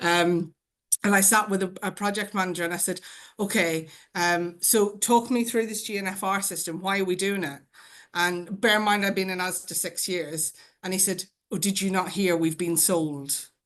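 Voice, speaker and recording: A woman at a medium pitch with an Irish accent, fairly even intonation and a moderate pace against a quiet background. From Ireland. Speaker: change manager, award winner. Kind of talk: panel discussion. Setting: video call.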